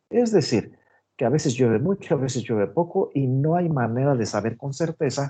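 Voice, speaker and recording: A man's dark, mellow, somewhat breathy voice at a medium pitch, with lively intonation, a moderate pace and a quiet background. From Mexico, Guanajuato. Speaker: agronomy professor. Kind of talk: online lecture.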